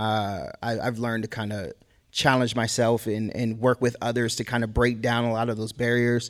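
The recording is very clean, with a silent background. A man with an American accent talks at a medium pitch and a moderate pace, his intonation monotone and flat. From Boston. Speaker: hip hop artist. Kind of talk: panel discussion.

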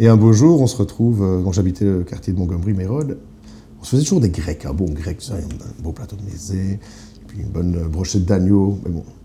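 A man with a very deep, low pitch speaks at a fairly quick pace, with ordinary pitch variation. His loudness swings a lot, and there is noticeable background noise. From eastern Belgium, near the German border. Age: 30s. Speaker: sommelier. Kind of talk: casual interview. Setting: restaurant office.

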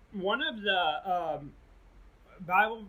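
A man talks in a high-pitched voice. Noticeable background noise runs underneath. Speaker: podcast co-host, seminary student. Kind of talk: casual chat.

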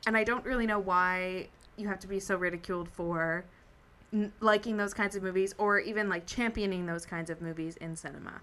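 Bright and sharp in tone, a woman speaks at a fairly quick pace with fairly even intonation. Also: medium pitch for a woman. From New Brunswick, Canada (Sussex). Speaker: community radio co-host. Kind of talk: casual chat.

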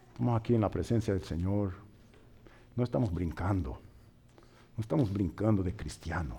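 Speaking with a slight Brazilian accent, a man uses a very deep, low pitch with vocal fry, lively intonation and a fairly slow pace. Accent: slightly Brazilian-tinged Spanish. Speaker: pastor and missionary. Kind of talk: sermon. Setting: church.

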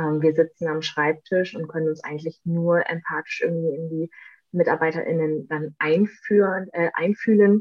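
Speaking at a fairly slow pace, a woman uses a very deep, low pitch. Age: 30s. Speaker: deputy press spokesperson. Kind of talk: interview.

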